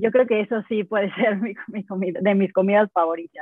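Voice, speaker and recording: Her voice at medium pitch, a woman speaks with fairly even intonation. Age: 30s. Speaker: vegan sports nutritionist. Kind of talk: interview. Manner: halting.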